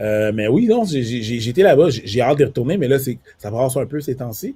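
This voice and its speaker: Dark, mellow tone, somewhat breathy, with lively intonation and a fairly quick pace. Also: man, medium pitch for a man. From Quebec, Montreal, Haitian family. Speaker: comedian. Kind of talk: casual chat. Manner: repeats words, many fillers.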